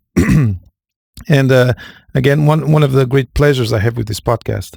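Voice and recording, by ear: A man in a raspy, put-on character voice speaks at a moderate pace and medium pitch, with ordinary pitch variation and a dry, close sound with no echo.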